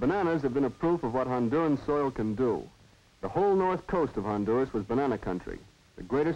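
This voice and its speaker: Over a quiet background, a man in an unremarkable speaking voice talks at a fairly quick pace, fairly high in pitch, with lively intonation. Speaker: narrator. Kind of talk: documentary narration.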